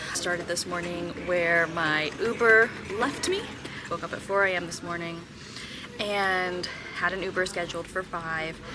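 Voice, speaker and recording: Quiet and fairly low-pitched, a woman speaks at a fairly slow pace with fairly even intonation and long, frequent pauses, with noticeable background noise and audible room echo. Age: 30s. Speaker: vlogger. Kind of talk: casual vlog talk to camera. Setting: airport. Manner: quiet, talking low.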